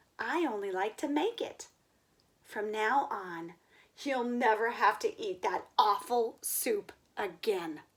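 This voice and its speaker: Putting on a character voice, a woman swings her pitch very widely. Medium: read story.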